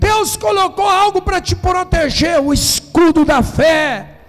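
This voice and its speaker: A man's voice amid noticeable background noise. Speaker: pastor. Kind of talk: sermon.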